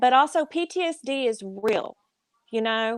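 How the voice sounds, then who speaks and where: A woman with a Southern US accent talks very slowly at a high pitch with ordinary pitch variation, her voice dry and close with no echo over a quiet background. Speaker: military veteran. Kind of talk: casual chat.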